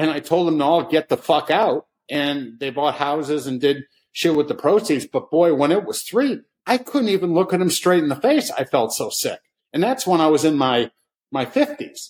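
Lively in intonation, a man with an American accent and an ordinary speaking voice talks at a moderate pace and a fairly high pitch. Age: 60s. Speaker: short seller. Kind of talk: casual chat.

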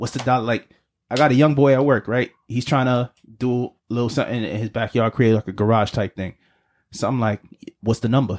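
The sound is dry and close with no echo as a man speaks at a fairly quick pace in a medium pitch. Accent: New York. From US Northeast (Brooklyn, New York). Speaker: podcast co-host. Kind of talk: casual chat. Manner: animated.

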